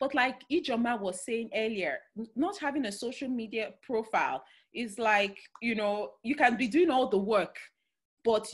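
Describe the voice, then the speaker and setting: Speaking with a Nigerian accent, a woman uses a fairly high pitch with ordinary variation at a moderate pace. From Nigeria, Delta State. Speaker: career and future-of-work speaker. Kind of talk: talk in an online webinar. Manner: halting, with many fillers.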